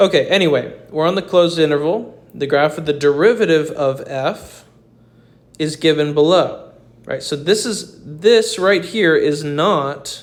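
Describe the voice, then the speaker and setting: Ordinary pitch variation and a fairly slow pace in a plain, everyday voice. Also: man, fairly high pitch for a man. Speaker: math teacher. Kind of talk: tutorial. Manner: casual.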